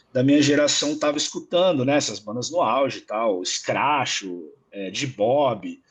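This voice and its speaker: A man talks at a fairly slow pace. His voice is fairly high, with ordinary pitch variation. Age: 30s. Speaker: guest music commentator. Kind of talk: casual chat. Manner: halting, many repetitions.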